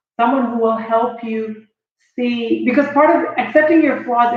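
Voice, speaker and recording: A woman speaks at a high pitch. Audible room echo surrounds her voice. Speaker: motivational speaker. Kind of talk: motivational talk. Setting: live stream on Facebook. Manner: animated.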